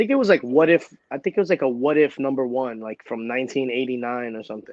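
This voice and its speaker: A man with a Brooklyn accent talks at a very fast pace in an animated tone, his medium pitch showing ordinary variation while his loudness swings widely. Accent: New York (Brooklyn). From Brooklyn, New York, US. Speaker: entertainer and comic book creator. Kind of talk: casual chat.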